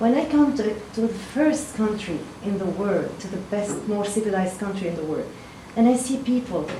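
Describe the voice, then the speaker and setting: A woman's fairly high voice with a Lebanese accent, at a moderate pace with ordinary pitch variation, amid audible room echo and noticeable background noise. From Lebanon. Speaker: town hall attendee. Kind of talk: public comment at town hall. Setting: town hall meeting at a fire station.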